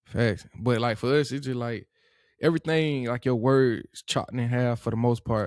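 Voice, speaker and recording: In a strong Georgia accent, the speaker keeps a fairly even intonation on a very clean recording with a silent background and a dry, close sound with no echo. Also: man, medium pitch for a man, moderate pace. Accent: thick Georgia. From US South, Atlanta and Monroe, Georgia. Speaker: podcast guest, former college football player. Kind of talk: casual chat. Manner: clipped, words chopped in half.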